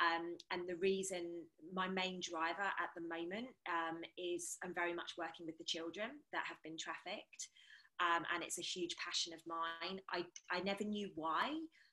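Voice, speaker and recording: In a British accent, a woman with a fairly low pitch and a bright, sharp tone speaks at a moderate pace with monotone, flat intonation. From England. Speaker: energy healer. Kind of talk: casual round table discussion.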